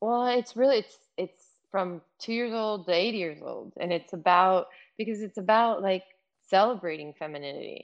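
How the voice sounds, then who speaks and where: In a Californian accent, a woman speaks at a moderate pace and medium pitch, with ordinary pitch variation. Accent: Californian American. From Los Angeles, US. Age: 50s. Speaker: fashion executive. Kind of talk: casual chat.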